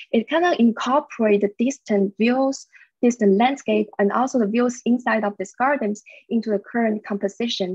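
A woman speaks with a Chinese accent at a fairly high pitch and a moderate pace. Her pitch varies in an ordinary way, and the sound is dry with no echo over a quiet background. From China. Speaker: media artist and researcher; presenter. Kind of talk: presentation. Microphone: video call.

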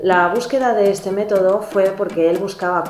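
A woman's lively intonation at a moderate pace, with audible room echo and faint music in the background. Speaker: nutritionist. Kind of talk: educational TV show presenter talking to camera. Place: home room.

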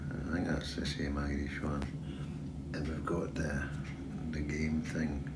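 Loud background noise runs beneath speech at a moderate tempo. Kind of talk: casual vlog chat. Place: boat. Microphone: phone near.

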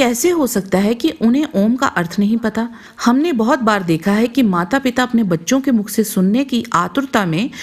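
A woman speaks with a Punjabi accent. Her pitch is high. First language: Punjabi (speaking Hindi). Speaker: channel narrator. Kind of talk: scripted narration.

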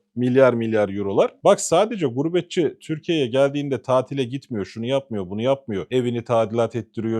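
A man of medium pitch with a dark, mellow tone, lively intonation and a moderate pace. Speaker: political commentator. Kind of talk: heated political rant. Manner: indignant, emphatic.

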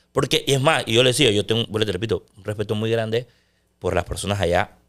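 A man's medium-pitched voice at a fairly quick pace, with ordinary pitch variation and a quiet background. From Panama. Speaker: sports broadcaster; podcast guest. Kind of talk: casual chat. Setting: studio. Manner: loud; intense. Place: studio. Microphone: studio mic.

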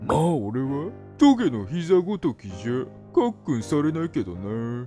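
A man's put-on character voice at a fairly high pitch, with clear music in the background. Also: moderate pace. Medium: dub. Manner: casual, laid-back.

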